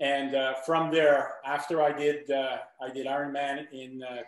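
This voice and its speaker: An ordinary speaking voice from a man, fairly high-pitched, with fairly even intonation. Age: 60s. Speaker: triathlete. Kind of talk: casual chat.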